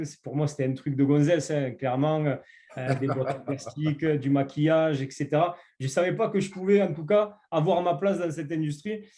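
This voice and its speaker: A man's fairly high, dark and mellow voice with a southern French accent, ordinary pitch variation and a moderate pace. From southern France. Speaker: network marketing entrepreneur. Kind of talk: interview. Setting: online call. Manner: hesitant, many fillers.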